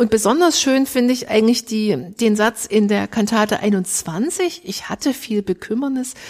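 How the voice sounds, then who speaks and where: A woman's fairly high-pitched voice with lively intonation, a fairly slow pace and hardly any pauses. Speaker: church musician, podcast co-host. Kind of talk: podcast discussion.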